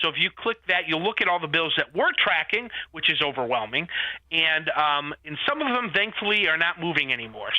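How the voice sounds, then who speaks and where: A man talks loudly at a fairly quick pace. His voice is high-pitched with lively intonation. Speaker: family policy advocate. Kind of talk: radio interview.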